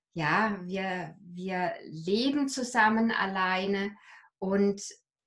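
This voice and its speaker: Against a quiet background, a woman's voice comes across somewhat breathy. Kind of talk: interview answer. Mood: reflective, personal, hesitant. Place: home room. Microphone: video call.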